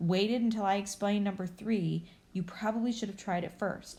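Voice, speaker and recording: A woman speaks at a medium pitch in a dark, mellow tone, somewhat breathy. The recording is very clean, with a silent background. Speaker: elementary school teacher. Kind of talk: tutorial. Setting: recorded video lesson.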